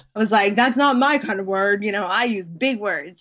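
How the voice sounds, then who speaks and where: A woman with an American accent speaks at a moderate pace in a plain, everyday voice. Her pitch is fairly high, with ordinary variation. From United States. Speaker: blogger. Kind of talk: interview.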